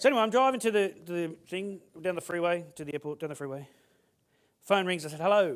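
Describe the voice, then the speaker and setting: A man with an Australian accent talks very fast at a high pitch, with an animated tone and big swings in loudness. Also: lively intonation. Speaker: motivational speaker. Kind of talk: keynote speech.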